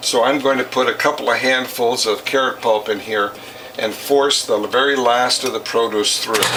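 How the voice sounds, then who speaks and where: A man speaks at a medium pitch with fairly even intonation and very even loudness. Noticeable background noise sits behind him. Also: moderate pace. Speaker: juicer demonstrator, juicer service business owner. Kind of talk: tutorial.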